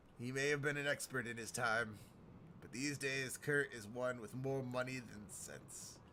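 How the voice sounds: A man's gruff, strained put-on character voice at a medium pitch, moderate pace, clear background noise behind it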